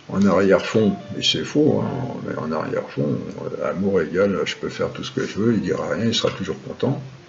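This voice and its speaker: Moderate-paced speech from a man amid noticeable background noise and audible room echo. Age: 60s. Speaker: spiritual and philosophy teacher. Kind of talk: lecture. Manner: halting.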